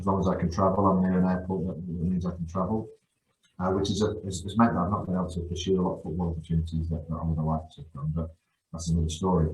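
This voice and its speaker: Speaking at a very fast pace in a monotone, flat delivery, a man with a very deep, low pitch sounds somewhat breathy against audible room echo. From Guernsey, born in northeast England. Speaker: football coach. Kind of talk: podcast interview. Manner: halting, many repetitions.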